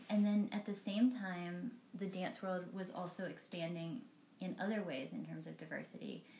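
A woman of medium pitch talks at a moderate pace with ordinary pitch variation and a dark, mellow, somewhat breathy tone. Audible room echo can be heard. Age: 40s. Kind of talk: casual interview.

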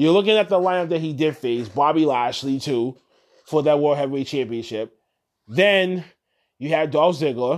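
Against a quiet background, a man with an ordinary speaking voice and fairly high pitch talks at a moderate pace. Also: ordinary pitch variation. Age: 30s. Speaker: wrestling podcast host. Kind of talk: solo casual recap. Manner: casual, filler-heavy.

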